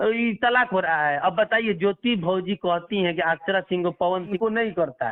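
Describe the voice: A man's high-pitched voice at a moderate pace, with ordinary pitch variation.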